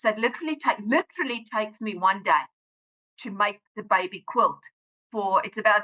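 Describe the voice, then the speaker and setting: Speaking at a fairly quick pace, a woman with a medium pitch and a bright, sharp tone uses lively intonation and big swings in loudness. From South Africa. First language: Afrikaans. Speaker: author and science teacher. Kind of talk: podcast interview.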